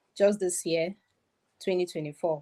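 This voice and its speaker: A woman speaks with a Cameroonian accent. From Cameroon, Southwest region. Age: young. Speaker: author and insurer. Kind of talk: interview.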